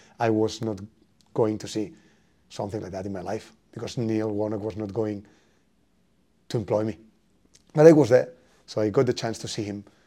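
With a Spanish accent and a dark, mellow tone, the speaker talks at a fairly quick pace with fairly even intonation, broken by long, frequent pauses. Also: man, fairly low pitch for a man. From Spain. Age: 30s. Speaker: football coach. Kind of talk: interview.

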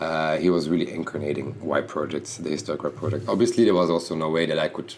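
Over noticeable background noise, a man talks very fast in a very deep, low pitch with ordinary pitch variation. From Belgium (Bruges, Flanders). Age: 30s. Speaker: fashion designer. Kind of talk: interview. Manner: halting.

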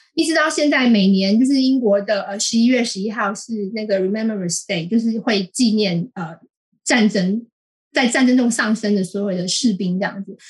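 In a Taiwanese accent, a woman with a fairly high, somewhat breathy voice talks at a moderate pace with ordinary pitch variation. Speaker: columnist. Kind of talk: interview. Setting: remote call.

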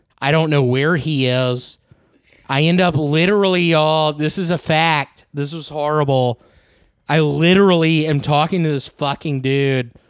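A man's fairly high voice with fairly even intonation and a Southern US accent, at a moderate pace, in a very clean recording with a silent background. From US South. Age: 30s. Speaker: comedian. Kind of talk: casual chat.

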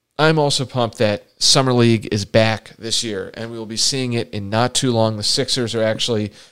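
Here is an ordinary speaking voice at a fairly quick pace. The intonation is fairly even throughout. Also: man. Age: 30s. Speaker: sports team podcast host. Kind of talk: casual chat.

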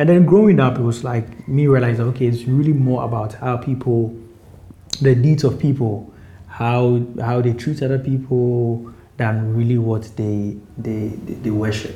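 Fairly slow and somewhat breathy, a man speaks at a medium pitch with fairly even intonation, and the room echo is audible. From Ghana (Accra). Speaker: rapper. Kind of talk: interview. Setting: at home.

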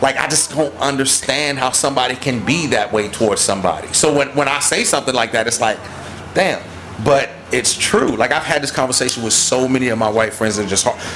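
A man's fairly quick speech, with music in the background. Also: medium pitch for a man, ordinary pitch variation, very even loudness. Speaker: musician promoting his music. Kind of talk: casual chat.

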